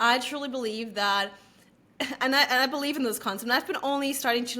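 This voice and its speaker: Amid noticeable background noise, a woman sounds animated, her fairly high pitch showing ordinary variation. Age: 20s. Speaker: podcast host. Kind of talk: casual chat. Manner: fast.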